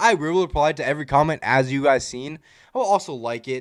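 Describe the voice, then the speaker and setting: The recording is very clean with a silent background. A man's pitch swings very widely. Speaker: YouTuber. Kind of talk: casual vlog outro. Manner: loud.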